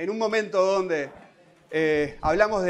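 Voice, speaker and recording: A man speaks at a moderate pace. His intonation is fairly even. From Uruguay. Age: 30s. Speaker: social policy director; panelist. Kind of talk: panel talk. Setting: standing at a panel with audience. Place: hall. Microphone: handheld.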